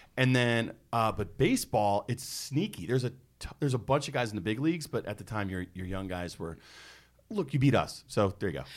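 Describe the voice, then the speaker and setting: In an American accent, a man with an ordinary speaking voice and a medium pitch talks at a fairly quick pace with lively intonation, on a very clean recording with a silent background. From US, North Carolina (Pinehurst). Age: 30s. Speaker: podcast co-host, public speaking teacher. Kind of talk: casual chat. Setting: studio.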